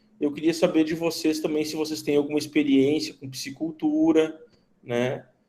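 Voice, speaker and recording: With a southern Brazilian accent, a man talks at a moderate pace in a dark, mellow tone, his fairly high pitch held in a monotone, flat intonation. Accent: southern Brazilian (gaúcho). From southern Brazil, Rio Grande do Sul. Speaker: teacher, veterinarian. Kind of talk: online class lecture. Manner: conversational, many fillers.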